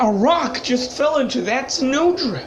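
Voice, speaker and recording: Over clear background noise, a female-sounding voice puts on a character voice, pitched high and delivered at a fairly slow pace. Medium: audio drama.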